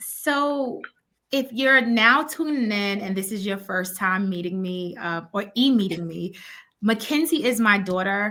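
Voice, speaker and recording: A woman's bright, sharp voice, medium in pitch, with lively intonation and a fairly slow pace. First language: Spanish. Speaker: education consultant and children's author. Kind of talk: interview.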